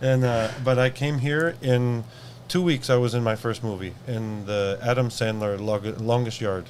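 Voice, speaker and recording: A man with an American accent and an ordinary speaking voice talks at a fairly slow pace, with medium pitch and ordinary pitch variation. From US Pacific Northwest, Seattle. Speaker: event organizer. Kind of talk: casual interview.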